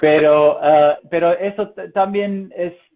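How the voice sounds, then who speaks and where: A man speaks with a slight non-native accent. His intonation is fairly even. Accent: good Spanish accent, slight foreign tones. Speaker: professional translator. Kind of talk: casual interview chat. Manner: hesitant, many fillers.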